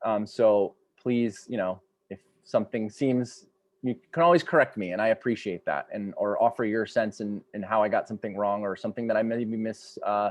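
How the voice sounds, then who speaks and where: A fairly low-pitched male voice moves through ordinary pitch variation. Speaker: storyteller and educator. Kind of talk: workshop lecture. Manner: fast; halting, many fillers.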